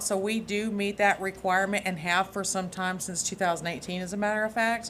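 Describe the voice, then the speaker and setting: Her voice sits at a medium pitch. The woman's intonation stays monotone and flat. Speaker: emergency dispatch center director. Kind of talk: presentation. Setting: county commission meeting. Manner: loud.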